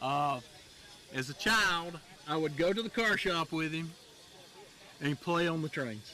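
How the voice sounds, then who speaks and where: Long, frequent pauses run through this man's speech. He has a fairly high pitch, ordinary pitch variation and a Southern US accent. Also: fairly slow pace. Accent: Southern American. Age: 60s. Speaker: railroadiana collector. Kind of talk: interview.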